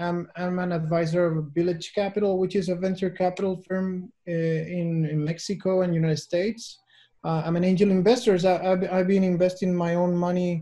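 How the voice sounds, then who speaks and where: Fairly quick and monotone, a man talks with flat intonation and a high pitch. His tone is dark and mellow, and the background is quiet. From Chile. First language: Spanish. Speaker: venture capital investor. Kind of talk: webinar talk. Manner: halting.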